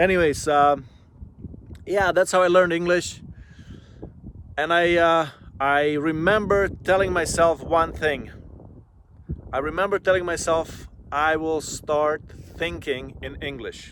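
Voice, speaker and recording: A man with a non-native accent speaks in a high voice with a relaxed tone and fairly even intonation. He goes at a fairly slow pace with long, frequent pauses. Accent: foreign accent, still present. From immigrant to Canada at age twelve, non-English-speaking country. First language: not English. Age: 40s. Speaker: vlogger. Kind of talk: casual vlog monologue. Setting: outdoors by a lake. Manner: relaxed, with frequent fillers.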